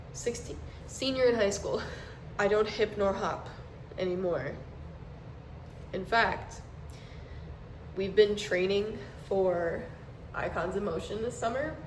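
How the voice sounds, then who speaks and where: In a room with audible echo and noticeable background noise, a woman speaks at a fairly slow pace with long, frequent pauses, her medium pitch varying in an ordinary way. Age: 20s. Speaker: dance teacher and vlogger. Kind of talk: casual vlog.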